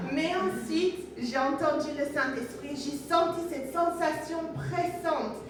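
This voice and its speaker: Woman with a Namibian accent, high in pitch, at a very slow pace, with audible room echo and noticeable background noise. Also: ordinary pitch variation, hardly any pauses. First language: Oshiwambo (speaking French). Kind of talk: testimony.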